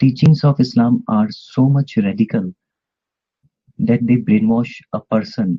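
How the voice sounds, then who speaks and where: Here a man talks at a fairly slow pace. His pitch is medium, with ordinary variation. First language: not English. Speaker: participant in online debate room. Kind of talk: heated debate. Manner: halting with many fillers.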